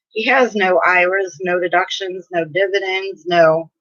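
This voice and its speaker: A woman's very slow delivery with fairly even intonation. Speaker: tax tutor. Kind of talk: tutorial. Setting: livestream on laptop by a window.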